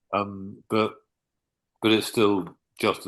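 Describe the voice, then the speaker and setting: A man with a southern English accent against a quiet background. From southern England. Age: 60s. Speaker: author. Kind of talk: interview.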